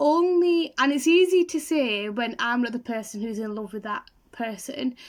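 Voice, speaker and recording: This woman's voice sits high in pitch, captured in a very clean recording with a silent background. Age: young. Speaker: YouTuber. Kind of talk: vlog talk to camera.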